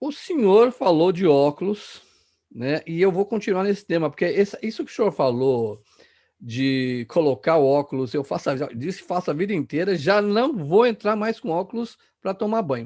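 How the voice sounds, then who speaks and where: Against a quiet background, a man with a high pitch and a dark, mellow tone talks at a moderate pace with very wide pitch swings. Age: 50s. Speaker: youtube interviewer. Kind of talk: interview.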